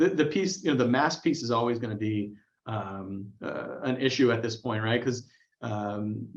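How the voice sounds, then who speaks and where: A man speaks with lively intonation. His pitch stays in the medium range. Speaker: career coach. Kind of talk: webinar Q&A. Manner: fast, excitable; hesitant, many fillers.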